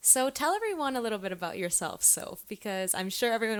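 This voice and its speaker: A woman talks at a fairly quick pace with lively intonation in a plain, everyday voice. The recording is very clean, with a silent background. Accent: Canadian. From Canada (Toronto). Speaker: podcast host. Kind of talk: casual chat.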